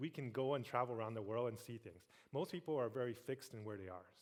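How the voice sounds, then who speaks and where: Speaking in a medium pitch, a man shows ordinary pitch variation. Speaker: tech industry executive, keynote speaker. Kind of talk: keynote speech. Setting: stage with audience. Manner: fast.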